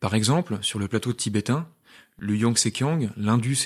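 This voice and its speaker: Heard in a very clean recording with a silent background, a normal speaking voice moves at a fairly quick pace with ordinary pitch variation. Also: man. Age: 20s. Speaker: podcast co-host, medical resident. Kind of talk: scripted dialogue.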